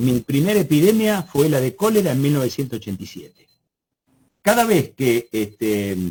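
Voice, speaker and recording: A man's fairly high pitch comes with a dark, mellow tone and a somewhat breathy quality. He keeps a moderate pace while his pitch swings very widely. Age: 70s. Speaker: biosafety expert, lecturer. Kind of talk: webinar Q&A.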